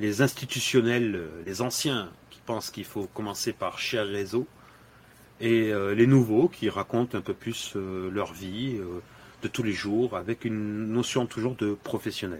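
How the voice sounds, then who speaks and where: A man with a medium pitch and ordinary pitch variation talks at a very slow pace. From Senegal (Dakar). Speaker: LinkedIn influencer and dry-cleaning shop owner. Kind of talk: podcast interview. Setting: in his dry-cleaning shop.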